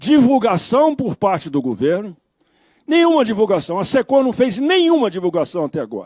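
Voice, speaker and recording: With a dry, close sound and no echo, a man talks in very wide pitch swings. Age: 80s+. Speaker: dairy sector advocate at public hearing. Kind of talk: public hearing speech. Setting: public hearing. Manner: formal.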